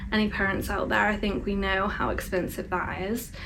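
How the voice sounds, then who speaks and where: Amid noticeable background noise and audible room echo, a woman of medium pitch talks at a moderate pace. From England, Bristol. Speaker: vlogger. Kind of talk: casual chat. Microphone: poor sound quality.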